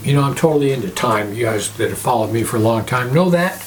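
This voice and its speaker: This man rattles along at a very fast pace with noticeable background noise behind him. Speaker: pastor, religious video host. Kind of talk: sermon-style talk to camera.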